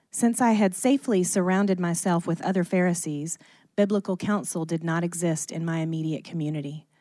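Someone with a dark, mellow tone talks at a fairly quick pace. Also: woman, fairly low pitch for a woman, ordinary pitch variation, quiet background. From US South, Athens, Georgia. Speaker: church member sharing testimony. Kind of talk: testimony. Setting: stage with audience.

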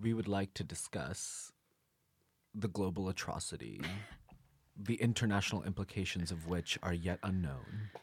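With vocal fry and a very deep, low pitch, a man talks at a moderate pace with ordinary pitch variation and long, frequent pauses. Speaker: college podcast co-host. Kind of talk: casual chat. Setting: studio.

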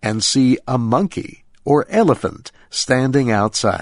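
Against a quiet background, a man speaks fairly slowly in a plain, everyday voice with a medium pitch. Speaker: radio host. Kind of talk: scripted narration, nature documentary style. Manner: clear, slow, simple Special English delivery.

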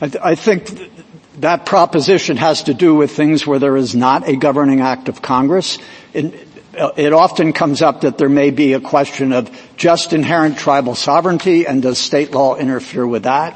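There is noticeable background noise behind a man's fairly high voice. He moves at a moderate pace with ordinary pitch variation. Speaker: government lawyer arguing before supreme court. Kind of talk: oral argument. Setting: courtroom.

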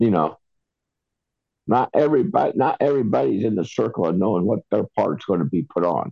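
With vocal fry and a fairly low pitch, a man talks at a moderate pace with very wide pitch swings, very even loudness and long, frequent pauses. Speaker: co-host. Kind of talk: casual banter.

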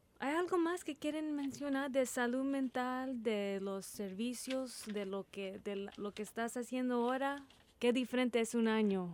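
Speaking at a fairly slow pace with hardly any pauses, a woman holds a high pitch with ordinary pitch variation. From Texas, Corpus Christi. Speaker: radio host. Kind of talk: interview. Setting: studio. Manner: halting.

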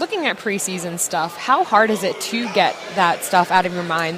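A woman talks at a medium pitch. Noticeable background noise runs behind her. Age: 20s. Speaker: co-host. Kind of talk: casual chat.

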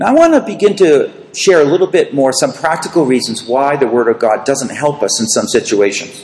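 Amid noticeable background noise, a man with an American accent talks at a fairly quick pace in a fairly high voice with very wide pitch swings. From US, Boston area. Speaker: preacher. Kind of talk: sermon with consecutive interpretation.

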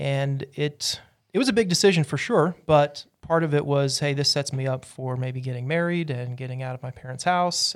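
In a very clean recording with a silent background, a man with an American accent uses an ordinary speaking voice at a fairly high pitch and a moderate pace. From Utah, US. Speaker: church member and preacher. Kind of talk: casual interview.

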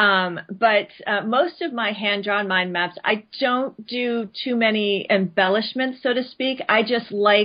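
In an American accent, a woman speaks at a very slow pace with a fairly high pitch and ordinary pitch variation. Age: 40s. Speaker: branding and content marketing specialist. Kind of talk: interview. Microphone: connection dropped out.

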